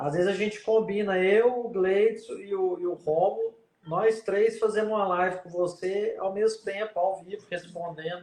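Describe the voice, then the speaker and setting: This man's voice sits at a high pitch. He talks at a moderate pace. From Goiás, Brazil. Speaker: rheumatologist. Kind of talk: live stream interview. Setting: online live stream.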